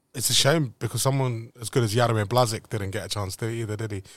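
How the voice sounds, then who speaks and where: Very fast, somewhat breathy speech from a man at medium pitch, with fairly even intonation, on a very clean recording with a silent background. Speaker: club podcast host. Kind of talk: casual interview chat.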